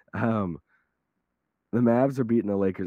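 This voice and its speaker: A hoarse male voice at a fairly quick pace. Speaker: guest sports commentator. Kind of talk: casual sports talk show banter. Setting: remote call.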